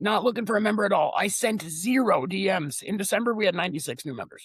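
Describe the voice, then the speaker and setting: A man talks loudly at a very fast pace in a high voice. His intonation is lively. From Lithuania. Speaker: online community founder. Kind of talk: podcast interview. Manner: animated.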